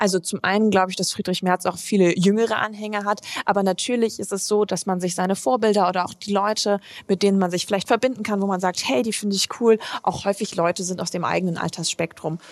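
This woman speaks at a very fast pace and medium pitch. Her intonation stays fairly even. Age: 20s. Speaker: politician. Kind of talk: interview.

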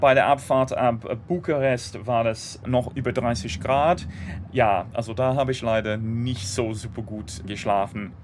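Someone speaks very slowly in an English accent with ordinary pitch variation. Music plays in the background. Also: man, medium pitch for a man. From Great Britain. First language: English (speaking German). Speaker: political blogger and rail campaigner. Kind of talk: interview. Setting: on a train.

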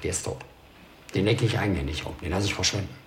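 Noticeable background noise and audible room echo run through the clip. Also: man. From Ruhr area, Germany. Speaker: former prisoner. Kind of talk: documentary interview.

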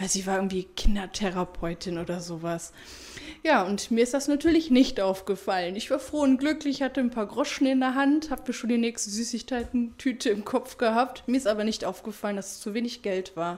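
With an ordinary speaking voice, a woman speaks at a fairly quick pace, her fairly high pitch carried by lively intonation. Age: 30s. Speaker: former nurse. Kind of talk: interview.

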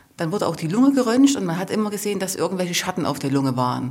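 A woman speaks very fast, her fairly low pitch swinging very widely. There is noticeable background noise. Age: 40s. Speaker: mother of a patient. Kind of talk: interview testimony.

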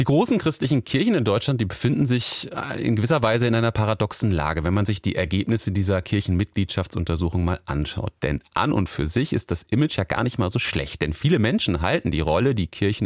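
A man with a plain, everyday voice talks at a fairly quick pace with lively intonation, in a dry, close sound with no echo. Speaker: radio presenter. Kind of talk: radio presentation.

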